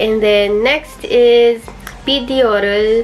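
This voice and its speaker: A woman speaks with a Filipino accent. Noticeable background noise can be heard. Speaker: YouTuber, language learner. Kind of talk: tutorial vlog. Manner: casual, hesitant with fillers.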